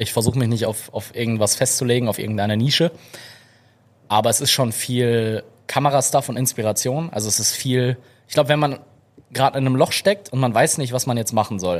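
Though his pace is fairly quick, a man leaves long, frequent pauses, speaking at a medium pitch with ordinary pitch variation. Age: 20s. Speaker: content creator and photographer. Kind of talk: casual interview chat. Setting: live podcast with small audience in a café.

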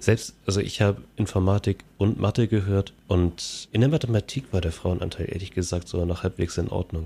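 Somewhat breathy and dark, mellow in tone, a man's fairly low voice moves at a moderate pace with ordinary pitch variation. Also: very clean recording, silent background. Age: 30s. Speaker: podcast host, software developer. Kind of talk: casual chat.

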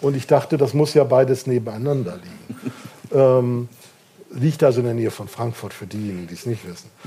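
A man talks at a fairly quick pace in an ordinary speaking voice, medium in pitch with ordinary pitch variation. His loudness swings widely. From northern Germany, Kiel. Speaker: jazz musicologist, institute director. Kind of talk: interview before live audience. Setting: bar with live audience.

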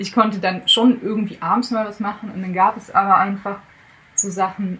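A woman's medium-pitched, a plain, everyday voice, with fairly even intonation. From Germany. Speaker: guest telling her breakup story. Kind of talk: casual interview. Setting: guest room in Zurich.

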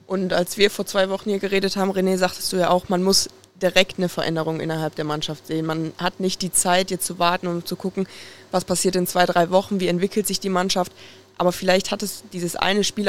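Speaking at a very fast pace, a woman keeps a monotone, flat intonation at a medium pitch. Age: 20s. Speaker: football fan podcast guest. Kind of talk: casual chat.

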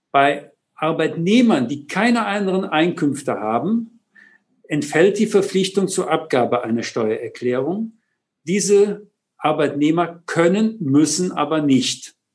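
A man speaks at a very slow pace. His high pitch moves in lively intonation. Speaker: tax advisor. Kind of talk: interview.

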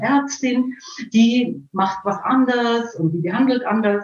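A woman with an ordinary speaking voice talks at a fairly slow pace, her fairly high pitch carrying lively intonation. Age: 60s. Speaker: homeopath and psychologist. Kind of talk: interview. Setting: live video stream.

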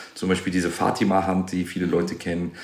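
Very deep, low male voice against noticeable background noise. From Germany, Cologne. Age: 30s. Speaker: actor. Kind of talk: casual chat.

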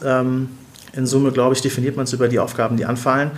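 With noticeable background noise and audible room echo around him, a man talks in a medium pitch. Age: 30s. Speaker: social media manager. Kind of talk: interview.

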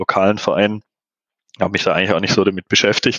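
A man with a fairly low-pitched voice. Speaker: in-house SEO manager. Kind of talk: podcast interview.

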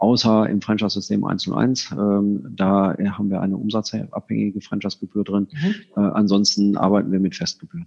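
A man with a fairly low pitch speaks in an ordinary speaking voice at a moderate pace with ordinary pitch variation and hardly any pauses. The sound is dry and close, with no echo. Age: 50s. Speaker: company executive. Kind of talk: interview.

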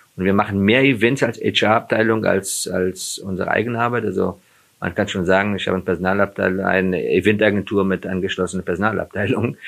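The speech races at a very fast pace with fairly even intonation. The recording is very clean, with a silent background. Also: man, fairly low pitch for a man. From Afghanistan (Kabul). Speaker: HR executive. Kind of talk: interview. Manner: halting, many fillers.

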